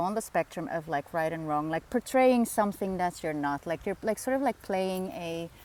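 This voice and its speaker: A woman's fairly low voice with lively intonation, in a Dutch accent. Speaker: spiritual facilitator. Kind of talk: casual vlog monologue. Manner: halting, many fillers.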